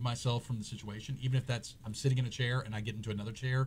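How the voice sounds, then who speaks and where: Very fast and somewhat breathy, a man's medium-pitched voice rushes along. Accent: Louisiana. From Louisiana, Baton Rouge. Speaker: talk show host, lawyer. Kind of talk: casual chat.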